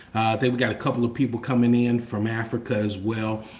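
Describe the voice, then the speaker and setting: A man speaks over noticeable background noise. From Kentucky, Louisville. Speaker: life coach and chef. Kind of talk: webinar presentation. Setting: video call.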